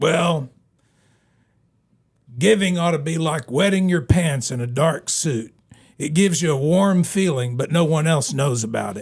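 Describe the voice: A man uses a put-on character voice, gruff and fairly high in pitch with ordinary pitch variation. He goes at a moderate pace with long, frequent pauses, in a very clean recording with a silent background.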